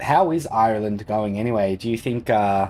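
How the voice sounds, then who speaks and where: A man speaks in a relaxed tone. His voice sits fairly low, with ordinary pitch variation. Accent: Australian. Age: 30s. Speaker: gaming streamer. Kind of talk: casual live-stream chat with gameplay commentary. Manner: casual, relaxed.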